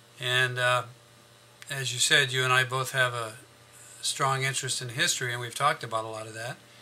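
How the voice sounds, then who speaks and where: A man talks at a medium pitch with monotone, flat intonation and big swings in loudness. Long, frequent pauses break up his speech over noticeable background noise. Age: 60s. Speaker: grandfather, history enthusiast. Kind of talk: interview. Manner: halting, with false starts.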